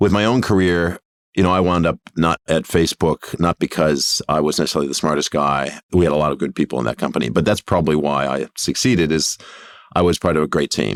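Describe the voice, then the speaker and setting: Very fast speech with an American accent and vocal fry holds a very even loudness and ordinary pitch variation, recorded with a dry, close sound and no echo. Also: man, very deep, low pitch for a man. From New York, US. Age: 50s. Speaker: tech company founder and CEO. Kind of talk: podcast interview.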